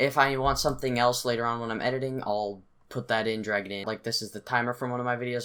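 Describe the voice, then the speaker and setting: A man's bright, sharp voice at a very fast pace, fairly even intonation, quiet background. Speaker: youtuber. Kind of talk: tutorial. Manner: casual. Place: home room.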